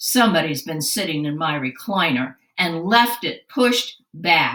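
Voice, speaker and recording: In a put-on character voice, a woman rasps at a fairly low pitch with very wide pitch swings and a moderate pace. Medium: read story. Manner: grumbling.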